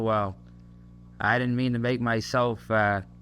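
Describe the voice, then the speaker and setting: A man's medium-pitched voice with a Massachusetts accent, moderate pace, flat monotone intonation. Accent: Massachusetts, Kennedy-like. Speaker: soldier. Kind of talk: recorded message to a family. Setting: home tape recording on an army post. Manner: hesitant, many fillers.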